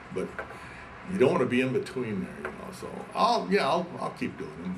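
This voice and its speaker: At a moderate pace and medium pitch, a man speaks in a room with audible echo and noticeable background noise. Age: 70s. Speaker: pilot and aircraft builder. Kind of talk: oral history interview. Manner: halting, many repetitions.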